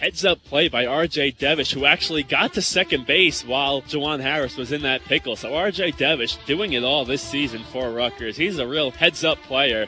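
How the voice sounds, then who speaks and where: Over music in the background, a man with a fairly high pitch and ordinary pitch variation talks at a moderate pace with hardly any pauses. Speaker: sports play-by-play broadcaster. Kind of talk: baseball play-by-play.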